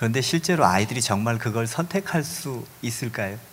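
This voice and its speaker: Pitch swings very widely in this voice. The man speaks at a moderate pace. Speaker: pastor working with at-risk youth. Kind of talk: panel talk. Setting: stage with audience.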